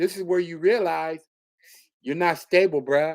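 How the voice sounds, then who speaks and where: An animated man with an American accent, fairly high in pitch and fairly quick, over a very clean recording with a silent background. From New York City (Bronx). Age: 60s. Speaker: YouTube commentator. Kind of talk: live stream rant.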